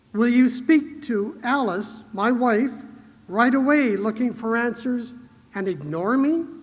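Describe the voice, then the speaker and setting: A man at an extremely high pitch with lively intonation, fairly slow in pace, amid audible room echo. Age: 60s. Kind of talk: conference keynote speech. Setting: stage with audience.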